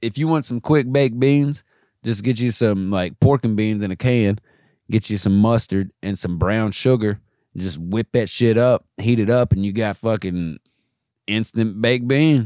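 An ordinary speaking voice moves at a moderate pace with ordinary pitch variation, recorded with a dry, close sound with no echo. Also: man, medium pitch for a man. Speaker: podcast co-host. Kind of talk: casual comedy chat.

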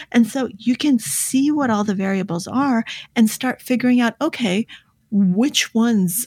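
A fairly high, somewhat breathy woman's voice at a moderate pace with ordinary pitch variation, dry and close with no echo, on a very clean recording with a silent background. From born in the Soviet Union, raised in the US. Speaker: author and poker player. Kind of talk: interview.

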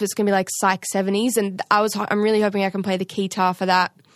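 Recorded against a quiet background with a dry, close sound and no echo, a woman with an Australian accent speaks at a medium pitch. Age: 20s. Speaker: drummer, singer and songwriter. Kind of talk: casual chat.

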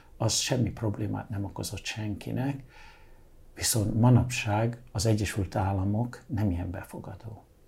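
At a fairly slow pace, a man speaks in a fairly low pitch with a somewhat breathy, dark, mellow tone and fairly even intonation. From Hungary, born in London. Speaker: artist and interior designer. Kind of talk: interview.

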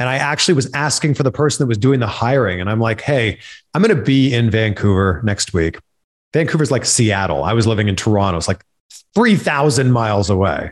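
Speaking with a Canadian accent, a man uses an ordinary speaking voice at a medium pitch, talking at a fairly quick pace with lively intonation in a very clean recording with a silent background. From Canada. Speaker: TV host and entertainment reporter. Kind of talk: casual chat.

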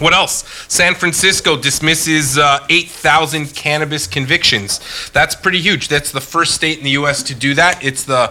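Over noticeable background noise, a man with a Canadian accent talks at a moderate pace in a fairly high pitch with ordinary pitch variation. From Canada. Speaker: podcast host. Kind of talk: casual chat.

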